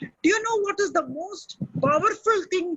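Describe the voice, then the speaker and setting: A woman speaks with a Keralan accent. Her pace is fairly slow. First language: Malayalam. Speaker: motivational speaker. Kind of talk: webinar talk and Q&A. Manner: animated.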